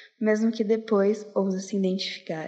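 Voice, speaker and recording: A woman's fairly high voice, monotone and flat, at a fairly slow pace. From Porto Alegre, southern Brazil. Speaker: slam poet. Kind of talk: spoken word poetry, slam performance. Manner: intense, rhythmic, emotive delivery; reflective, introspective.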